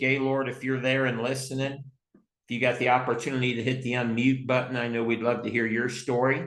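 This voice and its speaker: Fairly quick speech with audible room echo. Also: man. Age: 60s. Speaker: company president. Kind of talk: group call hosting. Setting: video call. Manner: upbeat.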